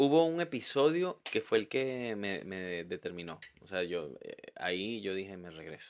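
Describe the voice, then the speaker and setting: Fairly low-pitched and fairly slow, a man talks with hardly any pauses, his pitch swinging very widely and his loudness rising and falling sharply. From Venezuela, Valencia. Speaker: journalist. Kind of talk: casual chat. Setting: studio.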